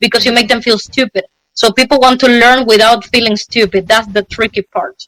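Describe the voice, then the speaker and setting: In a bright, sharp tone, a woman with a fairly high pitch speaks at a fairly quick pace with fairly even intonation, the sound dry and close with no echo. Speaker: street interviewee. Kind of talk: casual chat. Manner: fast.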